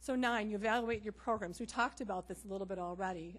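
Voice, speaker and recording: A woman speaks at a very fast pace with a somewhat breathy, medium-pitched voice and fairly even intonation. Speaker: public health official. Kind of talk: presentation.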